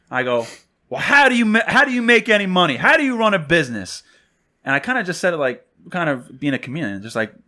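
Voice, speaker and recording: A man with a New York accent talks very fast in a high voice, his pitch swinging very widely, on a very clean recording with a silent background. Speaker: podcast co-host, salesperson. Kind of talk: casual chat, storytelling.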